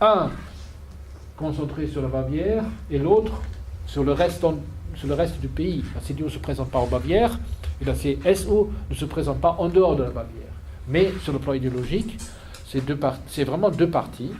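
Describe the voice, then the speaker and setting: Long, frequent pauses break up the speech. Audible room echo fills the recording. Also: man, moderate pace. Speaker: political analyst. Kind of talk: lecture. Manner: halting.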